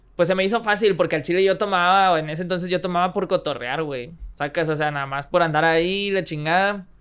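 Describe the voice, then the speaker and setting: A man with a Mexican accent talks very fast in an animated tone, his high voice showing ordinary pitch variation on a very clean recording with a silent background. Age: 20s. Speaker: freestyle rapper and engineer. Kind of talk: casual chat.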